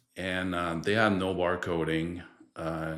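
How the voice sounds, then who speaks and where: A man speaks very slowly in a very deep, low voice with monotone, flat intonation. The room has an audible echo. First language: French. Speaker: distribution director. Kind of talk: podcast interview.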